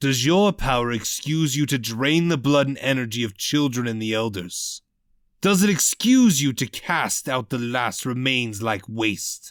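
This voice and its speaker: In a put-on character voice, a man speaks guttural and gravelly at a medium pitch and moderate pace, with lively intonation, on a very clean recording with a silent background. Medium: read story. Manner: cold, menacing.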